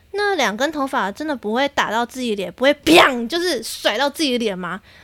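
A woman speaks at a high pitch with a Taiwanese accent. Her intonation is lively, and the recording is very clean with a silent background. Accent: Taiwanese Mandarin. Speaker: podcast host. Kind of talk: casual solo monologue. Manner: animated.

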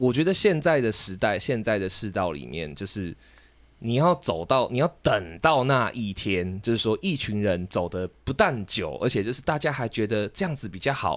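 In a very clean recording with a silent background, a man with a Taiwanese accent talks at a moderate pace with a medium pitch and very wide pitch swings. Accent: Taiwanese Mandarin. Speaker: podcast co-host. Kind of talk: casual debate.

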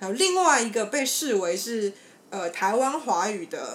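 Noticeable background noise sits behind a very slow voice with a Taiwanese accent and lively intonation. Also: woman. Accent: Taiwanese Mandarin. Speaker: podcast host. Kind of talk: casual chat; explanatory discussion of research.

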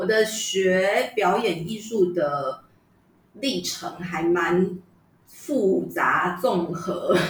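A woman talks at a very slow pace. Room echo is audible, and background noise is noticeable. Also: medium pitch for a woman, ordinary pitch variation. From Taiwan, Yunlin. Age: 30s. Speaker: traditional opera actress. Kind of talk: casual chat.

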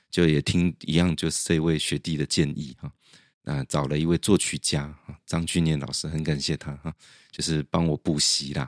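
A man speaks at a very deep, low pitch with fairly even intonation and a moderate pace. The recording is very clean, with a silent background. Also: dry, close sound with no echo. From central Taiwan. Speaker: music translator and lecturer. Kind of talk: interview.

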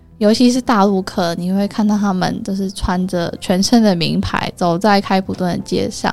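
A woman with a medium-pitched voice talks at a moderate pace, hardly pausing, with fairly even intonation. Noticeable background noise runs underneath. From Taiwan, Taichung. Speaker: travel company owner. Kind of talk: interview. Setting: studio.

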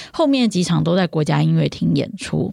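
Speech at a moderate pace comes through a very clean recording with a silent background. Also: woman. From Taiwan. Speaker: classical music podcast host. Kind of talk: casual chat.

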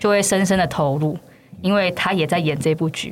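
Music plays in the background. Over it, a woman speaks in a fairly low pitch. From Taiwan, Yunlin. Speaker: brand manager of a puppet theater company. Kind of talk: casual interview chat.

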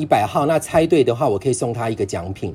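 Very wide pitch swings from a man, with noticeable background noise. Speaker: long-term HIV patient. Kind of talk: casual chat.

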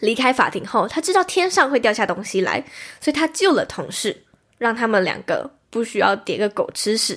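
On a very clean recording with a silent background, a woman speaks at a moderate pace at a high pitch with very wide pitch swings. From Taiwan. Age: 20s. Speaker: podcast host. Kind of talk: solo podcast monologue, movie recommendations. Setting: recorded livestream.

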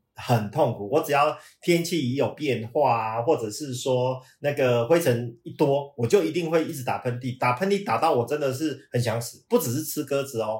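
At a moderate pace and medium pitch, a somewhat breathy man talks with ordinary pitch variation and hardly any pauses. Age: 50s. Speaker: management consultant. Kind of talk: casual chat.

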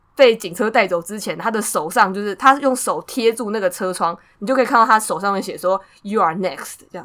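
A woman with a normal speaking voice talks at a fairly quick pace and medium pitch, showing ordinary pitch variation and big swings in loudness. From Taiwan. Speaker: podcast co-host. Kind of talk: casual chat.

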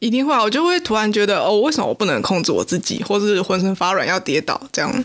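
The speech moves at a very fast pace. There are hardly any pauses. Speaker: podcast co-host. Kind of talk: casual chat.

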